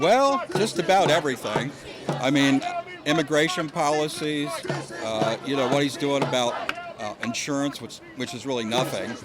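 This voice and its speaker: Music in the background behind a man's fairly high voice, moderate in pace, with ordinary pitch variation. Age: 60s. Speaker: protester. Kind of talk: street interview. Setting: outdoors at a rally.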